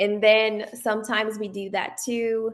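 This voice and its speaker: A woman speaks with a Portuguese accent. Her voice sits at a medium pitch. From Brazil. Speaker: guest. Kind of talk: casual chat.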